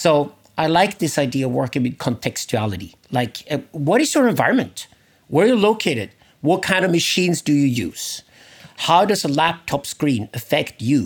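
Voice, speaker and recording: Very wide pitch swings and vocal fry mark this man's speech. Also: fairly high pitch for a man, moderate pace, very even loudness. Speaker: philosopher and author. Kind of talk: interview.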